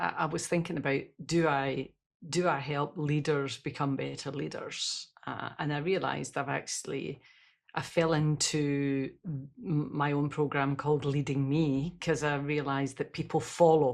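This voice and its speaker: A woman speaks in a monotone, flat intonation at a moderate pace. Her pitch is very deep and low, against a quiet background. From Scotland. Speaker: leadership expert and speaker. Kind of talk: podcast interview. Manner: rolled r's.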